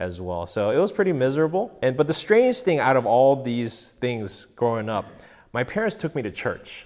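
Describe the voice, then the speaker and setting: A man talks with an American accent at a moderate pace. He has an ordinary speaking voice and lively intonation. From Korean American, grew up mostly in the US. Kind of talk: personal testimony. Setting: home recording session with live audience.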